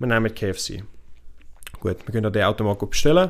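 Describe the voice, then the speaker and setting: A man speaks at a very fast pace. His pitch sits in the medium range. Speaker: podcast co-host. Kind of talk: casual chat.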